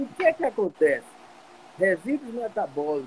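A man at a moderate pace with lively intonation, against noticeable background noise. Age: 50s. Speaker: physician and triathlete. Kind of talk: casual chat.

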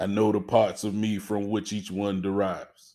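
On a very clean recording with a silent background, a man with a normal speaking voice talks at a moderate pace, fairly low in pitch. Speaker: father praying. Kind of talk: fervent prayer, spoken aloud to God as a humble, heartfelt plea. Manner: earnest, pleading, tender.

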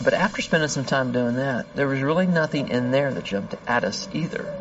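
With music in the background, a man talks at a moderate pace, his pitch fairly high and his intonation lively. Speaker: FBI agent. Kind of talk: interview recounting.

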